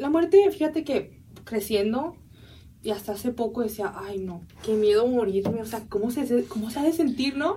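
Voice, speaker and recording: A woman speaks at a fairly high pitch. Her tone is dark and mellow. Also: moderate pace. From San Diego border area, US, Mexican-American family. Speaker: university student. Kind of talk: interview.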